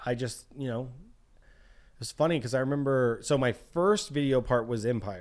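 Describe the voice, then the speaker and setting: A man with an American accent speaks at a medium pitch with ordinary pitch variation, in a plain, everyday voice. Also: moderate pace. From South Texas. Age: 30s. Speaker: pro BMX rider. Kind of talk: casual chat. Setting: in person at host's house, on camera.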